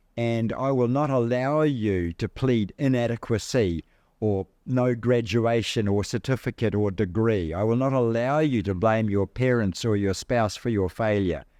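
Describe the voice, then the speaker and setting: In a New Zealand accent, a man speaks at medium pitch and moderate pace with a dark, mellow tone, ordinary pitch variation and very even loudness, recorded dry and close with no echo against a quiet background. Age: 70s. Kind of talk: talk to an audience. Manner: animated.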